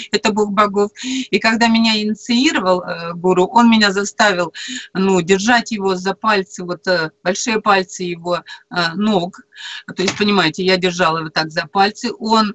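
The pace is moderate. This woman's pitch shifts in an ordinary way. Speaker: radio show guest co-host. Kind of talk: interview answer. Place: home room. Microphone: video call.

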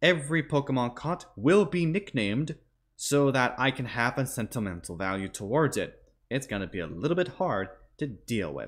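Against a quiet background, a man with vocal fry speaks at a moderate pace with very wide pitch swings. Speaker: gaming video host. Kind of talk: explaining game challenge rules to viewers. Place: home room. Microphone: headset.

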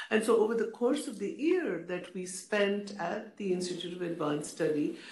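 A woman talking at a moderate pace, with audible room echo. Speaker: panelist. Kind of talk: panel talk, personal recollection. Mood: warm, reflective. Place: hall. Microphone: podium.

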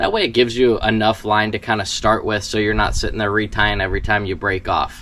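Speaking at a fairly quick pace, a man has a fairly low pitch. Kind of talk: tutorial. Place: garden. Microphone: camera far.

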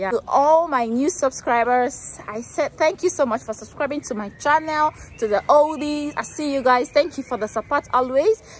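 Recorded dry with no echo, a woman's high-pitched voice comes through over light background noise. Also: ordinary pitch variation, moderate pace. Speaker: vlogger. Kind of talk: casual vlog chat. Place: street. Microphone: phone near.

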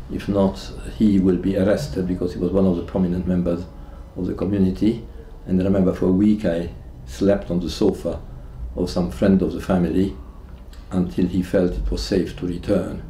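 There is light background noise and audible room echo around a man with a very deep, low pitch. He speaks at a fairly quick pace, broken by long, frequent pauses. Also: ordinary pitch variation. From Hungary. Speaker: Holocaust survivor. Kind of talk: testimony. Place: home room.

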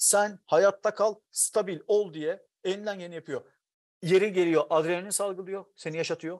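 Against a quiet background, a man speaks at a high pitch. He goes at a fairly slow pace with ordinary pitch variation. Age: 40s. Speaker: writer; guest. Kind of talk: casual chat. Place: home room. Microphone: earbuds.

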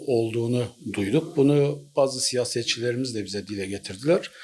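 A man's voice with ordinary pitch variation and light background noise. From Turkey. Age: 50s. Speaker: local association chairman. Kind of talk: street interview statement. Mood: earnest, mildly aggrieved. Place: office.

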